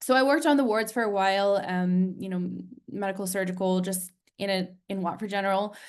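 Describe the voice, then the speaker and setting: A woman with a plain, everyday voice and an American accent, medium in pitch with ordinary pitch variation, at a fairly quick pace. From United States. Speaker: nurse turned health tech founder. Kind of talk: interview on webinar. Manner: many filler ums.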